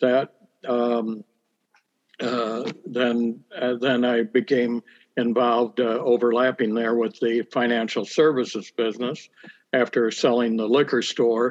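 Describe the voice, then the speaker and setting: At a very slow pace, a man with a Midwestern American accent speaks in a medium pitch with monotone, flat intonation. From US Midwest, central Illinois (Bloomington-Normal). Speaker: town council candidate, businessman. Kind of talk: interview.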